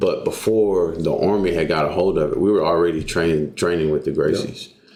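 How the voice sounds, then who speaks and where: A man with a Texan accent at a fairly quick pace. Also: very even loudness. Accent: Texan US Southern. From Texas. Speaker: jiu-jitsu coach and army veteran. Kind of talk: casual interview.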